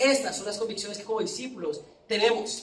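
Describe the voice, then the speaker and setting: A voice with a Colombian accent comes through with audible room echo. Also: man. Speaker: preacher. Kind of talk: sermon. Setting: church with congregation.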